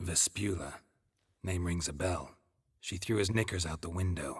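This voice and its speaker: A man puts on a character voice with a very deep, low pitch. His pace is moderate. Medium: video game. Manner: terse, dry.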